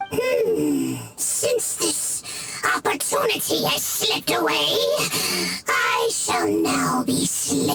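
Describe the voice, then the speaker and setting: A man's put-on character voice at a very slow pace. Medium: video game. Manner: mocking.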